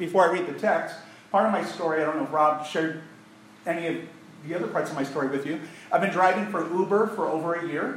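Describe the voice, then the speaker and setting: A man's high voice at a fairly quick pace, with audible room echo and noticeable background noise. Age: 40s. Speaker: pastor. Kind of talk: sermon. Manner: animated.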